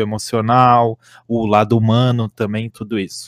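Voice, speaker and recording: A man speaks at a medium pitch. The recording is very clean, with a silent background and a dry, close sound with no echo. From Santa Catarina, Brazil. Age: 20s. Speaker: esports analyst and coach. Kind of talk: podcast interview. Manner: halting.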